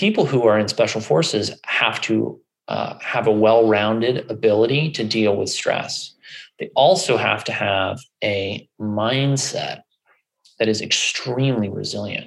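Speaking at a fairly slow pace with ordinary pitch variation, a man with an American accent has medium pitch and a plain, everyday voice. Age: 30s. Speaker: functional medicine doctor. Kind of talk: interview conversation.

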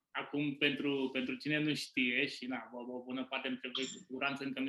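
A man's bright, sharp tone at medium pitch, delivered at a moderate pace. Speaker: podcast host, business owner. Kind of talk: casual interview.

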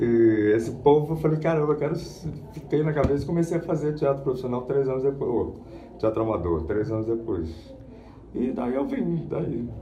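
A man with a fairly high pitch and lively intonation keeps a moderate pace, with noticeable background noise and audible room echo in the recording. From Rio de Janeiro, Brazil. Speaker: voice actor and dubbing teacher. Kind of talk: interview.

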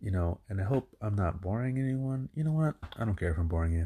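The recording is very clean with a silent background, and a man speaks at a very fast pace. His fairly low voice is somewhat breathy, with a dark, mellow tone. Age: 30s. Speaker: podcaster. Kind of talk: solo monologue. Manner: rambling, hesitant with many fillers.

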